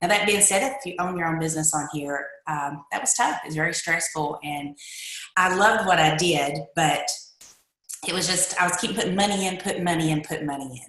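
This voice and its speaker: A woman's fairly low voice in an eastern Kentucky accent, fairly quick, with ordinary pitch variation and audible room echo. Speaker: direct sales distributor. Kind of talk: personal testimony.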